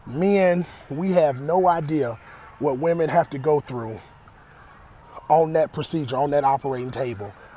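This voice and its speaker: A fairly high-pitched man at a moderate pace, with ordinary pitch variation and long, frequent pauses. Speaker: vlogger. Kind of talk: personal vlog testimony. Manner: halting, repetitive.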